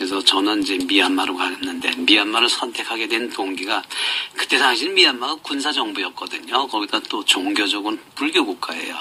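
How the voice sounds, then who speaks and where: Noticeable background noise runs under a man speaking at a fairly quick pace. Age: 60s. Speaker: rural doctor. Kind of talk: radio interview. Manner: halting.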